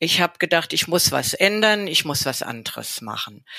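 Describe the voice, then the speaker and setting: A woman talks with a bright, sharp tone, vocal fry and very wide pitch swings. The sound is dry and close, with no echo. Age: 60s. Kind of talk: interview.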